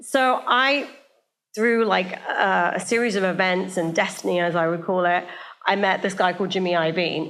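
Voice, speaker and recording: A woman with a British accent, her loudness very even, with audible room echo. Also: medium pitch for a woman, ordinary pitch variation, moderate pace. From England, small town north of London. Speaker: media entrepreneur and talent manager. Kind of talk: live podcast interview. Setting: stage with live audience. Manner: animated, casual.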